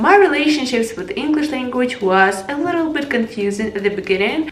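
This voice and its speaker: Through noticeable background noise, a woman with an American accent speaks with lively intonation. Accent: non-native, learned American pronunciation. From Ukraine. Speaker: English learning vlogger. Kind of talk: casual talk to camera.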